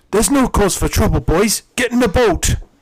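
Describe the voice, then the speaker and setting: A man's put-on character voice, high-pitched, with an English accent. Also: moderate pace. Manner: calm, reassuring.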